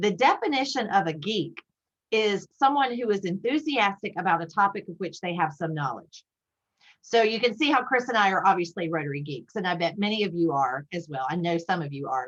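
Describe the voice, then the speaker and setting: Talking at a fairly quick pace, a woman with a Southern US accent uses a medium pitch and very wide pitch swings. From US South, South Carolina (Spartanburg). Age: 50s. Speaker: Rotary leader, guest speaker. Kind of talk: club talk via video call. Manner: fast.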